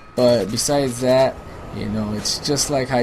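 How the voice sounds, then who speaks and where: This man talks at a moderate pace in an American accent. Background noise is noticeable. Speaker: gaming commentator. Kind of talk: casual advice talk over gameplay. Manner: casual, filler-heavy.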